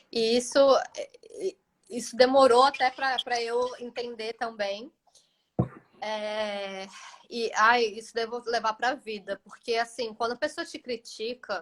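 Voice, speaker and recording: A woman with a fairly high voice speaks at a fairly slow pace. Long pauses come often. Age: 30s. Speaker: holistic pharmacist and self-knowledge mentor. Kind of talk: casual live chat.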